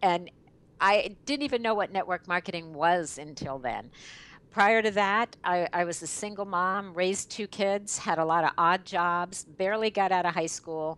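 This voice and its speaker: This is a normal speaking voice with ordinary pitch variation, moving at a fairly slow pace against a quiet background. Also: woman. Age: 60s. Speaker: network marketing leader. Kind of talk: interview.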